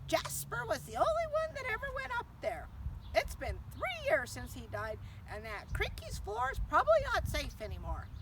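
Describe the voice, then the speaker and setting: A woman performs a put-on character voice over loud background noise. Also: moderate pace. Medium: read story. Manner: snappish, bossy.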